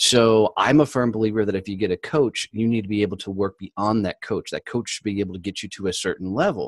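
Speaking very fast in an enthusiastic, animated tone, a man with a fairly low pitch comes through a dry, close sound with no echo and a quiet background. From Texas. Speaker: business owner and podcaster. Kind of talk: casual interview chat.

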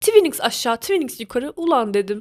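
Animated in tone, a woman speaks at a moderate pace in a dry, close sound with no echo. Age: 20s. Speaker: podcaster. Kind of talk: casual monologue.

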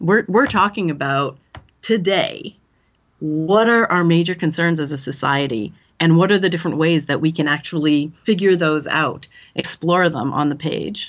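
A woman with a Canadian accent and a normal speaking voice, fairly low in pitch, with ordinary pitch variation and a moderate pace. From small-town Canada. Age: 40s. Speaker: literature professor. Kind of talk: interview.

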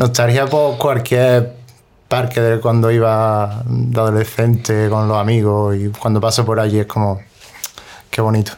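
At a fairly slow pace, a man speaks at a medium pitch with very even loudness and monotone, flat intonation. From Spain, Granada. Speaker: musician and producer. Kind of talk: casual chat.

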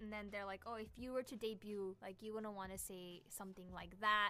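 A woman speaks at a moderate pace in a plain, everyday voice with a medium pitch. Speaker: K-pop YouTuber. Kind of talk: casual chat.

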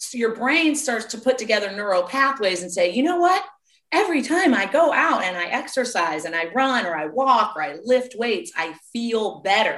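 A woman's fairly high voice at a moderate pace, with very wide pitch swings and big swings in loudness. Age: 40s. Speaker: personal trainer and life coach. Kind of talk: interview.

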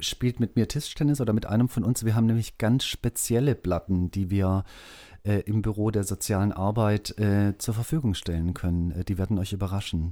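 On a very clean recording with a silent background, a man speaks at fairly low pitch in a dark, mellow tone with ordinary pitch variation. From southern Germany. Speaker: school social worker. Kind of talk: interview. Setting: school basement studio.

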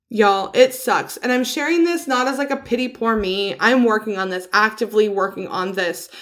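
With an unremarkable speaking voice, a woman talks at a fairly quick pace with hardly any pauses, using a fairly high pitch and lively intonation. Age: 30s. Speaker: podcast host. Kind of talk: casual monologue. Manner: casual with fillers.

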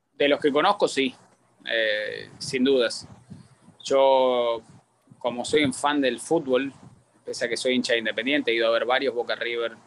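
A man speaks in an Argentine accent with fairly even intonation. His pace is fairly slow, with long, frequent pauses. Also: medium pitch for a man. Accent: Argentine accent, noticeable. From Argentina. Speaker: sports journalist and analyst. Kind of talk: casual interview chat.

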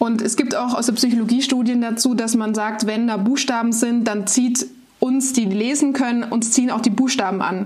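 Over noticeable background noise and audible room echo, a woman talks at a moderate pace with fairly even intonation and a fairly high pitch. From Baden-Baden, southwest Germany. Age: 20s. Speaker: startup founder, speech therapist. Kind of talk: podcast interview.

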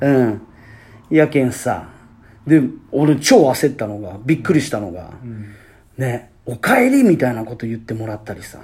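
Long pauses come often. The pace is moderate. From Fukuoka, Japan. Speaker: podcast host, basketball player. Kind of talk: casual chat. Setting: apparel shop used as studio.

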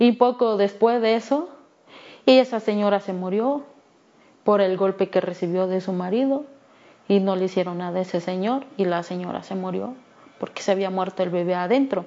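Pausing long and often, a woman speaks at a moderate pace and medium pitch with ordinary pitch variation. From Mexico, Guerrero (Ayutla de los Libres). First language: Me'phaa (Tlapanec) (speaking Spanish). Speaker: human rights activist. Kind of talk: testimony.

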